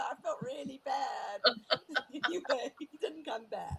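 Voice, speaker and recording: This is a woman speaking. Her pitch is high. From South Africa. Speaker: bush pilot and guide. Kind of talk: interview answer.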